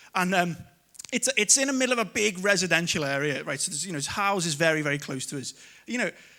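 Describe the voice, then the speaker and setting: Very fast and lively, a man speaks with a strong Liverpool accent and a high pitch. His tone is bright and sharp, and the recording is very clean with a silent background. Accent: strong Scouse. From Liverpool, England (Kensington). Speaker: comedian. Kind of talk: stand-up. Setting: stage with audience.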